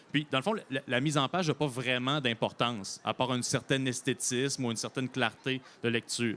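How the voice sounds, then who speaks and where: A man speaks at a medium pitch and a fairly quick pace, with very even loudness, fairly even intonation and a bright, sharp tone. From Quebec, Bellechasse (south shore). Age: 30s. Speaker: novelist. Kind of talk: interview.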